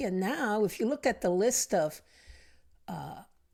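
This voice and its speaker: Someone with an American accent speaks on a very clean recording with a silent background. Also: woman. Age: 60s. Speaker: retired intelligence executive. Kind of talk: podcast interview. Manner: hesitant, many fillers.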